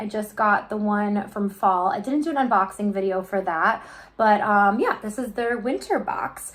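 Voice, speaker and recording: A woman with a slight Midwestern accent speaks in a fairly high pitch. She hardly pauses at all. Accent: Midwest accent, slight. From US Midwest, Chicago. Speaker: YouTuber, unboxing vlogger. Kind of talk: casual unboxing vlog. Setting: home kitchen. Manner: chatty, filler-heavy ('um').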